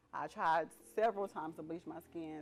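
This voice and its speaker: Over music in the background, a woman talks fairly quickly in a fairly low pitch with ordinary pitch variation. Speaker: interview guest sharing personal story. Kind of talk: testimony.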